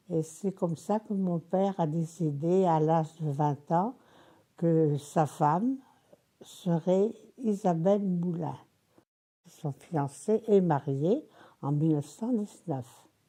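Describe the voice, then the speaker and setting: A woman speaks at a very slow pace with long, frequent pauses, her fairly low, dark, mellow voice showing ordinary pitch variation. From Tunisia, then Brittany (Landerneau). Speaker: elderly woman recounting her life. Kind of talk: oral history interview. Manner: halting.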